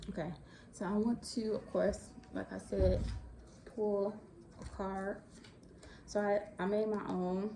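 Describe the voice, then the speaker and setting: A very slow delivery with an American accent. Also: woman. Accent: Chicago Southern. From Chicago. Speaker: astrology and tarot content creator. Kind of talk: casual talk to camera.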